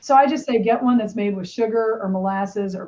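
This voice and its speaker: A woman's somewhat breathy, dark, mellow voice with an American accent at a moderate pace. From Bradford, Pennsylvania. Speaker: health coach and personal trainer. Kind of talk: podcast interview answer. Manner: casual, conversational.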